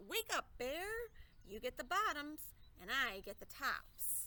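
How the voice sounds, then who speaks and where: Using a put-on character voice, the speaker moves at a fairly slow pace with very wide pitch swings. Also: woman, high pitch for a woman. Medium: read story. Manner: friendly, persuasive.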